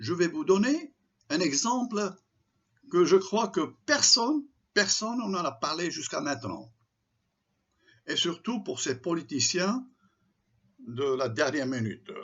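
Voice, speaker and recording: A man speaks very slowly with long, frequent pauses. His voice is high and swings very widely in pitch. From Morocco, Tangier. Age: 70s. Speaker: commentator. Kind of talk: open letter monologue. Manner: impassioned.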